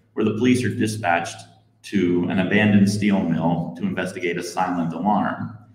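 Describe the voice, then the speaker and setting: Amid audible room echo, a man with a very deep, low voice and ordinary pitch variation talks at a fairly quick pace. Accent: American. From northeastern Pennsylvania. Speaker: novelist. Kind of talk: author reading introduction.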